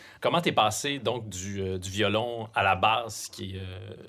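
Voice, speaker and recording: This man has a fairly low pitch, a bright, sharp tone and ordinary pitch variation. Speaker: podcast host. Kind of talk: interview conversation. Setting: studio.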